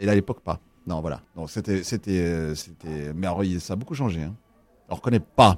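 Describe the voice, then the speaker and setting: Loudness swings widely as a man talks in a very deep, low voice with ordinary pitch variation at a moderate pace. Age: 40s. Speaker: student radio co-founder. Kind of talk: casual chat.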